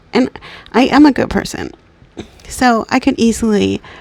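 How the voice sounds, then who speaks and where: A woman is speaking with noticeable background noise behind her. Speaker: self-help podcast host. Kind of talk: casual instructional monologue. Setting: late at night. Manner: casual, filler-heavy.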